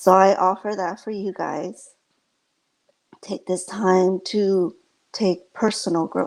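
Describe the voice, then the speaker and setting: Very slow, soft-spoken speech with monotone, flat intonation and long, frequent pauses. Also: woman, medium pitch for a woman. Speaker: inspirational speaker. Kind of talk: inspirational talk.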